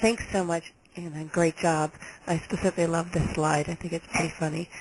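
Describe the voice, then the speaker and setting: With an American accent, a woman talks at a fairly quick pace in a fairly low pitch and a flat, monotone delivery. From New York. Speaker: health agency director. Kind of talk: webinar presentation. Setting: webinar. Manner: fast.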